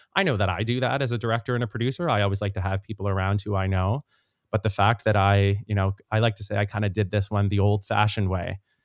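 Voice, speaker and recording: Speaking very fast with a Canadian Maritime accent, a man has a fairly low pitch and fairly even intonation, recorded very cleanly against a silent background with a dry, close sound and no echo. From Nova Scotia, Canada (Dartmouth). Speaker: singer and actor. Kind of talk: podcast interview.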